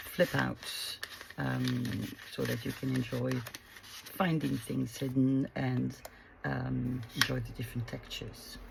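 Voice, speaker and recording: Speaking very slowly with long, frequent pauses, a woman is heard over noticeable background noise. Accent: French. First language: French. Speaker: craft youtuber. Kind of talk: craft tutorial. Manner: halting, many fillers.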